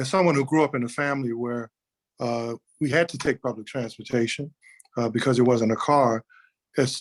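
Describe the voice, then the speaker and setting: Talking at a fairly quick pace in a New Orleans accent, a man with a medium pitch keeps his intonation fairly even, recorded with a dry, close sound and no echo. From New Orleans, Ninth Ward. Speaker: city councilman. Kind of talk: panel discussion. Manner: halting.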